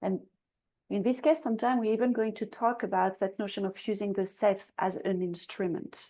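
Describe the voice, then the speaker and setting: A woman's dark, mellow voice at medium pitch, with ordinary pitch variation, a fairly quick pace and a quiet background. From France. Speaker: coach and speaker. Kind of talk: interview.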